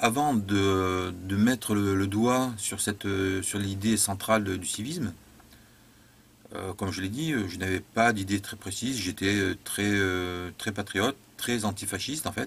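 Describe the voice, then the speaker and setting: A man is speaking at a fairly slow pace. His pitch variation is ordinary. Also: fairly low pitch for a man. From southern France, Montpellier area. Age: 40s. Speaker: political theorist and author. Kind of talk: personal monologue. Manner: halting, many hesitations.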